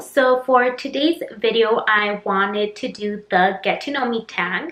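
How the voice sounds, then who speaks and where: A woman with an American accent and an unremarkable speaking voice talks at a fairly high pitch with ordinary pitch variation. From Utah, US. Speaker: YouTuber. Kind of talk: casual vlog chat.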